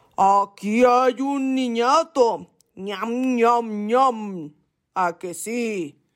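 A put-on, rumbling character voice moves at a very slow pace in a very clean recording with a silent background. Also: female-sounding voice, fairly high pitch for a woman. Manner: grumbling, sniffing around.

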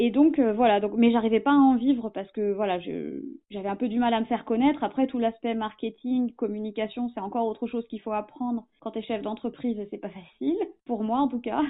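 Fairly quick delivery with fairly even intonation. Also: woman, fairly high pitch for a woman. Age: 30s. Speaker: relationship facilitator. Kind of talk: interview testimony. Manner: hesitant, many filler words.

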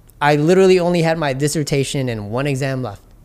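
A man with a New York accent, fairly high pitch and ordinary pitch variation. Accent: New York City English. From Jamaica, Queens, New York City. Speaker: entrepreneur and immigrant rights advocate. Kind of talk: casual interview. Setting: on location in Chinatown.

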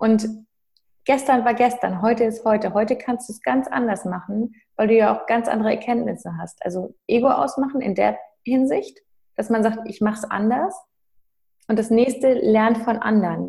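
A woman's somewhat breathy, dark and mellow voice, fairly high in pitch, at a moderate pace, with ordinary pitch variation and big swings in loudness. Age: 30s. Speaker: mindset coach and mother. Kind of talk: interview.

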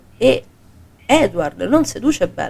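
A woman at a very slow pace, with vocal fry. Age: 40s. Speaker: podcast co-host. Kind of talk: casual chat. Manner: animated.

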